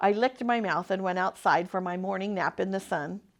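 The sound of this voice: Fairly even intonation marks this unforced reading voice.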